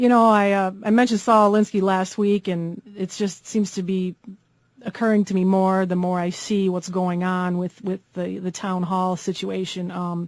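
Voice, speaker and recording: Speaking at a moderate pace, a woman uses monotone, flat intonation. She has an American accent and a medium pitch. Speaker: radio talk show host. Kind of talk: conservative talk radio hosting, call-in show.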